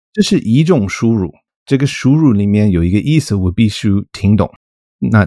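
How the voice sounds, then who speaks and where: Recorded very cleanly against a silent background, a man speaks at a moderate pace with a fairly low pitch. His tone is dark and mellow, and his intonation is lively. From US, Colorado. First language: English (speaking Chinese). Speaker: linguistics professor. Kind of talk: casual interview. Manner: halting, many fillers.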